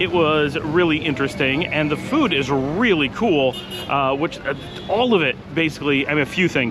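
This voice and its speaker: A man speaks at a fairly quick pace. Clear music plays in the background. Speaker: travel vlogger. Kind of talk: casual vlog chat. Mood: upbeat, pleased. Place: street. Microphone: phone near.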